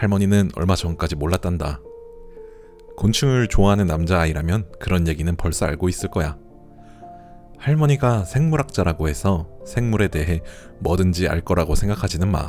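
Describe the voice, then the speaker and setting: A man with a very deep, low pitch, calm tone and lively intonation at a moderate pace, with long, frequent pauses and music in the background. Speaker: audiobook narrator. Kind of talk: audiobook reading for sleep. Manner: soft, calm.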